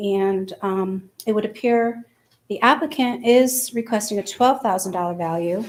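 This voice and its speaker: A woman speaks softly at a moderate pace. Her pitch sits in the middle range. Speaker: town assessor. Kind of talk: public hearing presentation. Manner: soft-spoken.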